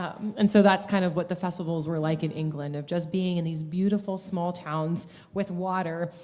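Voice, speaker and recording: At a moderate pace with hardly any pauses, the speaker uses fairly even intonation in an American accent over noticeable background noise. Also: woman, fairly low pitch for a woman. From United States. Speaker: folk musician in duo. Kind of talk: casual interview chat.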